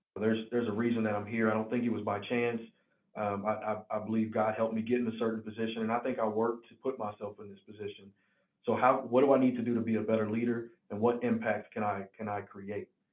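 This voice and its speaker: With a slight Southern US accent, a man speaks at a very fast pace in a monotone, flat delivery at a medium pitch. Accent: slight Southern country. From Tennessee, near Nashville. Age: 20s. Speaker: healthcare executive. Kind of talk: interview. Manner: halting.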